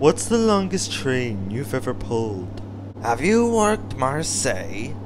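The recording is plain reading aloud.

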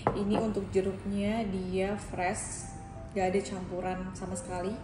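A woman's flat, monotone voice over background music. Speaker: food vlogger. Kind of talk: food review vlog. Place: cafe. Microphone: camera far.

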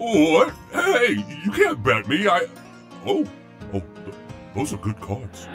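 A man's put-on character voice at a fairly slow pace, with clear music in the background.

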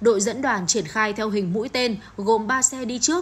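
In a plain, everyday voice, a woman talks at a moderate pace with a fairly high pitch. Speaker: news reporter. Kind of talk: news reading.

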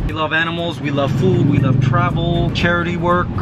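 Music sits in the background. Over it, a man keeps a moderate pace. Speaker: vlogger. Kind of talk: casual vlog chat. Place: car. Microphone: phone near.

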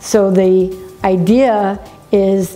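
A woman's voice in a monotone, flat intonation. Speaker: business coach. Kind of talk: talking-head business vlog. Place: office.

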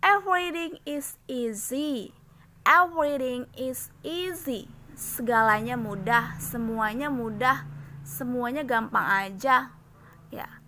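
A woman with a high pitch and a bright, sharp tone speaks very slowly. Her pitch swings very widely. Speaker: English teacher. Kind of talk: tutorial. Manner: slow, repetitive drilling.

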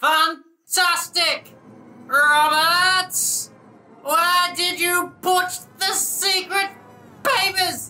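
A cartoonish character voice speaks at a very slow pace with long, frequent pauses. Music plays in the background. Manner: yelling, insulting, exasperated.

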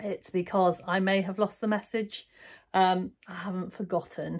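Moderate pacing from a woman speaker. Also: quiet background. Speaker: sewing vlogger. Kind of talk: casual vlog chat. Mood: warm and friendly. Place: home room. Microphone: phone near.

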